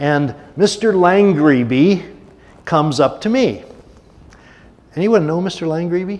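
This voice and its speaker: The speech is broken by long, frequent pauses. Room echo is audible throughout. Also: man, high pitch for a man. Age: 70s. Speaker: guest speaker at a church service. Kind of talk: sermon. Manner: conversational, with many filler words.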